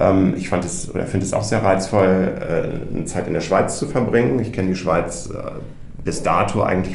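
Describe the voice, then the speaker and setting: A man speaks at a moderate pace amid noticeable background noise and audible room echo. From North Rhine-Westphalia, Germany. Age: 40s. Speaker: journalist, project participant. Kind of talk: casual chat.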